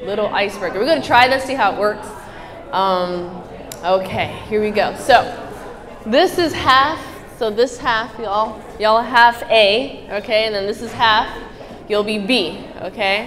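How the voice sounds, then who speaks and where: Speaking at a fairly slow pace and a fairly high pitch with ordinary pitch variation, a woman is heard with audible room echo and noticeable background noise. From Middle East. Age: 20s. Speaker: motivational speaker, athlete. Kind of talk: motivational talk to live audience. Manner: animated.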